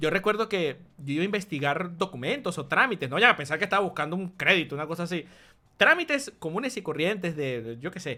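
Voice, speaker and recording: A man with a Venezuelan accent speaks at a very fast pace in a high pitch for a man, his bright, sharp tone animated and his intonation lively, on a very clean recording with a silent background. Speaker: YouTuber. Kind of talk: casual storytelling vlog.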